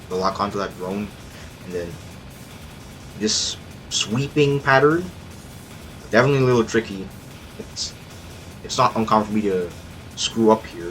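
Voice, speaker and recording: Music plays in the background as a man speaks at a moderate pace and medium pitch, with ordinary pitch variation. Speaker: gamer giving commentary. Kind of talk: game commentary voiceover. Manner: hesitant, stuttering, trailing off.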